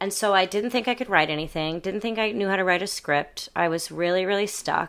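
With a plain, everyday voice, a woman speaks at a fairly quick pace with ordinary pitch variation on a very clean recording with a silent background. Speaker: actor and burlesque performer. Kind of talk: casual interview chat.

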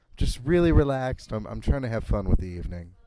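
Strained and very fast, a man uses a put-on character voice at a medium pitch. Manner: strained, held-in.

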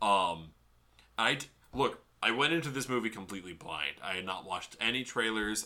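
A man's fairly low voice carries lively intonation. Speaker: podcast co-host. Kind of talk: casual chat. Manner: enunciates clearly; animated.

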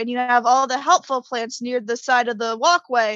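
A woman uses a raised, projected voice with a bright, sharp tone at a high pitch. She keeps a moderate pace, and the sound is dry and close with no echo. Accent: American. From Connecticut. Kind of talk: casual chat.

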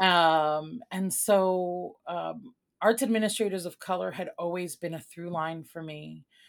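A woman with a Chicago accent, fairly low in pitch, at a fairly slow pace with hardly any pauses, fairly even intonation and big swings in loudness, on a very clean recording with a silent background. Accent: Chicago American English. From Chicago, born in Puerto Rico. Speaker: arts nonprofit executive director. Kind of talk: interview conversation.

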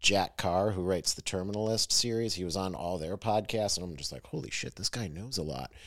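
An unremarkable speaking voice with ordinary pitch variation, on a very clean recording with a silent background. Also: man. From western New York, Lake Erie. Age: 30s. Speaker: podcast host, Marine veteran. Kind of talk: casual chat.

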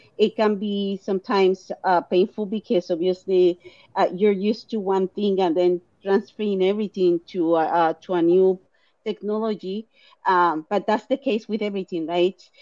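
Woman in a Latin American accent with a dark, mellow tone, moderate pace and fairly even intonation, in a dry, close sound with no echo. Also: medium pitch for a woman. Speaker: clinical research site co-owner.

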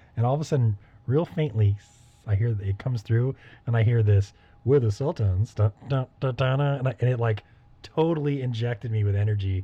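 Speaking at a fairly quick pace, a man uses a dark, mellow tone that is somewhat breathy, with ordinary pitch variation. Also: medium pitch for a man. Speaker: music podcast co-host. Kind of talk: casual chat. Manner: animated.

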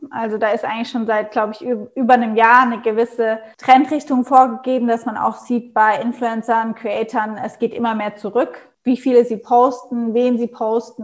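A woman's fairly high voice at a moderate pace, in a monotone, flat intonation. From Germany, Mannheim region. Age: 20s. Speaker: entrepreneur. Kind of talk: interview.

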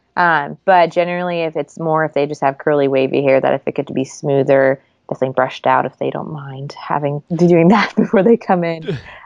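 At a fairly quick pace and with hardly any pauses, a woman with a very deep, low voice speaks with an American accent and ordinary pitch variation. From Sweden and Florida. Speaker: hairstylist. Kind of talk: interview.

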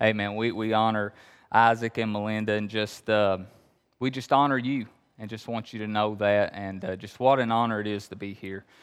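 In an Appalachian accent, a man speaks at a moderate pace with a fairly low pitch and monotone, flat intonation. His loudness swings widely against a quiet background. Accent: Appalachian Kentucky. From Appalachia, Kentucky. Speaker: pastor. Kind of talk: sermon. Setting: church.

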